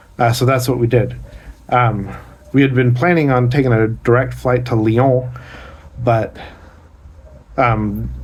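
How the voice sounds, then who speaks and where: With fairly even intonation and very even loudness, the voice moves at a fairly slow pace with long, frequent pauses in a room with audible echo. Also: man, medium pitch for a man. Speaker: vlogger. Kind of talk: casual vlog monologue. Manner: hesitant, many fillers.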